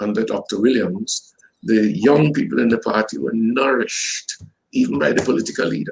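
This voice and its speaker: A man with a Trinidadian accent at a moderate pace. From Trinidad and Tobago. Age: 70s. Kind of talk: interview.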